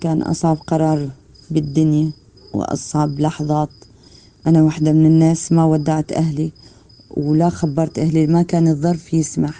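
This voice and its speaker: A woman's very deep, low pitch with a dark, mellow tone, monotone and flat intonation, at a moderate pace. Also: very even loudness. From Syria, Palmyra. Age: 40s. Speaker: midwife. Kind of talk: testimony.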